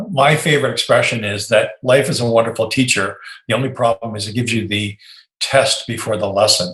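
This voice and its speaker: Speaking at a fairly quick pace, a man with a plain, everyday voice keeps a medium pitch and fairly even intonation. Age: 60s. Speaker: software company CEO. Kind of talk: interview.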